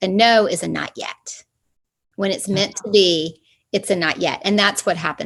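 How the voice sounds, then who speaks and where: A woman speaks in a normal speaking voice at medium pitch. Her intonation is fairly even and her pace moderate. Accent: American. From US South, Atlanta, Georgia. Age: 50s. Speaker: spiritual coach and studio owner. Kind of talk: interview.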